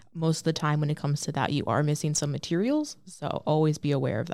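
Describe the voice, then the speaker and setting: The recording is very clean, the background silent. A woman speaks in a dark, mellow tone with an American accent. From Michigan, Lake Orion. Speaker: university student, admissions worker. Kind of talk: casual chat. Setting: studio.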